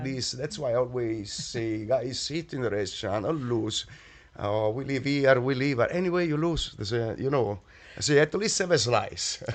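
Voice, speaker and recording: In an Italian accent, a man speaks with lively intonation. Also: medium pitch for a man, moderate pace. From Naples, Italy. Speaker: chef and restaurant owner. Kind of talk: interview answer.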